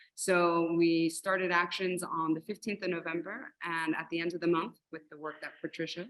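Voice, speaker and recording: A woman talks at a fairly quick pace with a US Northeastern accent. Her pitch is fairly low and her intonation fairly even. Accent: US Northeast. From New Jersey / New York, US. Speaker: arts organizer. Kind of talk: panel talk on video call. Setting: video call.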